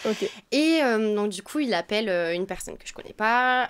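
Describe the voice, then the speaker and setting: Lively intonation marks this woman's fairly high voice at a moderate pace. The recording is very clean, with a silent background. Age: 20s. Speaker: former exchange student. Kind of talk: interview. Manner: halting.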